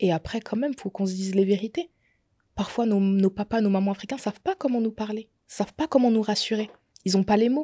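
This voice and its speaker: Over a quiet background, a woman with a fairly high pitch and a dark, mellow tone sounds somewhat breathy, moving at a fairly quick pace with ordinary pitch variation. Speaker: makeup artist sharing her endometriosis story; podcast guest. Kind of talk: testimony. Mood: earnest, personal testimony. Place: studio. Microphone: studio mic.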